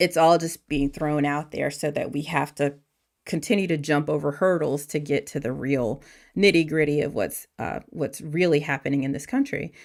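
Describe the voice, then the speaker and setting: On a very clean recording with a silent background, a woman with an American accent speaks at a moderate pace in a very deep, low pitch and an animated tone. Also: ordinary pitch variation. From US South, North Carolina. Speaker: livestream call-in show host. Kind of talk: casual livestream monologue. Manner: animated, many fillers and restarts.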